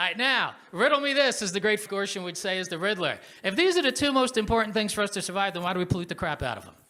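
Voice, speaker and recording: Raised and projected, a man's high-pitched voice runs at a very fast pace with hardly any pauses, its bright, sharp tone animated, its intonation lively and its loudness swinging widely. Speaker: professor of political science, panel moderator. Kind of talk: panel moderation.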